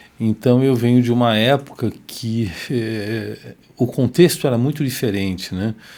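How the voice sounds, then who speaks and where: At a fairly slow pace, a dark, mellow tone comes through with ordinary pitch variation. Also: man. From Brazil, São Paulo. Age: 60s. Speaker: cardiologist and medical expert. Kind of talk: podcast interview. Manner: hesitant, many fillers.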